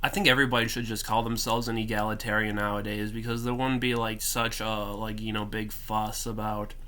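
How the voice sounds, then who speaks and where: The man's tone is bright and sharp. He keeps a moderate pace with ordinary pitch variation. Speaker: political commentary vlogger. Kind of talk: casual talk to camera. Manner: stuttering.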